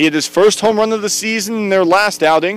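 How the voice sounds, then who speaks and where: Against noticeable background noise, a man speaks at a moderate pace in a high pitch with ordinary pitch variation. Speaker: play-by-play announcer. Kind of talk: live commentary. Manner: loud.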